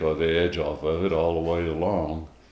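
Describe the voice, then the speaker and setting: Speaking at a fairly slow pace, a man has a very deep, low voice. Audible room echo fills the recording. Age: 90s. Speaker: elderly interviewee, Great Depression survivor. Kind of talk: interview. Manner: halting, many fillers.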